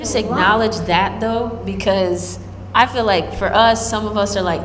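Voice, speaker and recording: Room echo is audible and background noise noticeable as a woman talks in a fairly high register. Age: 30s. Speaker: podcast host. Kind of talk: casual interview.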